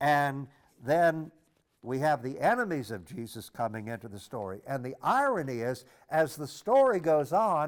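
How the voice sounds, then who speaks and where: Recorded very cleanly with a silent background, a man with an American accent talks at a fairly high pitch and moderate pace, his intonation lively and his loudness swinging widely. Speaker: priest or diocesan teacher. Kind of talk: lecture on scripture. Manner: halting, with frequent repetitions and fillers.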